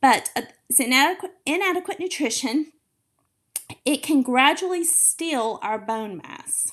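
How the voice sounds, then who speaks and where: Speaking in an animated tone, a woman uses a high pitch with very wide pitch swings at a fairly slow pace. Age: 40s. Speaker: fitness coach podcast host. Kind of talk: solo podcast talk.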